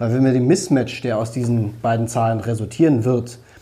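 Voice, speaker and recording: The speech moves at a moderate pace with fairly even intonation. Room echo is audible. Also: man. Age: 40s. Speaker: politician. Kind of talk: interview.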